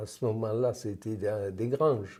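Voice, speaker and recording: A man's dark, mellow, somewhat breathy tone with fairly even intonation in a very clean recording with a silent background. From France, Cantal / Lot (Auvergne-Quercy). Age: 90s. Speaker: war veteran. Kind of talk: interview testimony.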